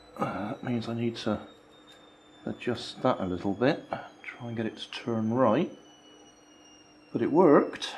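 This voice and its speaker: A very slow man's voice at medium pitch, with ordinary pitch variation and noticeable background noise. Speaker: DIY maker youtuber. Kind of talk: tutorial.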